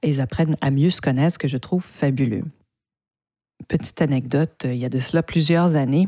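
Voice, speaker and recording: A woman with a Canadian French accent speaks in a dark, mellow tone at a very deep, low pitch, moving at a fairly quick pace with ordinary pitch variation and long, frequent pauses. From French Canada. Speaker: podcast host, PR agency owner. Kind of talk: podcast monologue. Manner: hesitant, many repeated words.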